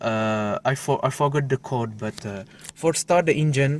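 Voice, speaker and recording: A man with a non-native accent speaks at a fairly slow pace. His pitch is fairly high, with ordinary pitch variation. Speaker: car hobbyist video maker. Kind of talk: tutorial demonstration. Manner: halting, many fillers.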